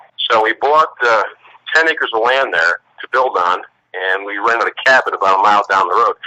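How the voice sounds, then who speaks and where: The sound is dry and close with no echo as a man talks at a fairly quick pace. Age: 60s. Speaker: eyewitness guest. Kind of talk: interview storytelling.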